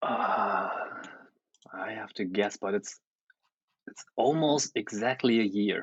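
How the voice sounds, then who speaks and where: A man speaks very slowly at a medium pitch, with long, frequent pauses. His loudness swings widely while his pitch variation stays ordinary. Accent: German. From Germany. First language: German. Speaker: photographer and photo editor. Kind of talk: casual chat.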